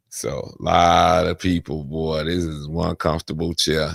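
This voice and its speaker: Dry, close sound with no echo from a male speaker, very clean recording, silent background. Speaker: veteran streamer. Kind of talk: casual livestream chat. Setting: at home, seated in chair. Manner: halting, repetitive.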